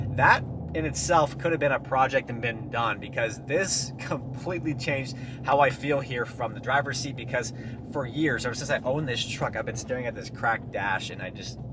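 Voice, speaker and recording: A man at a fairly quick pace with fairly even intonation, amid noticeable background noise. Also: medium pitch for a man. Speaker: car DIY vlogger. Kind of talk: casual vlog talk while driving. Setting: in a car. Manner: loud.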